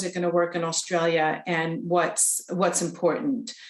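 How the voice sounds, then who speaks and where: In a North American accent, a woman speaks at a medium pitch, with audible room echo around her. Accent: North American, noticeable. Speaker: charity representative, presenter. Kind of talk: presentation. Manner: hesitant, many fillers.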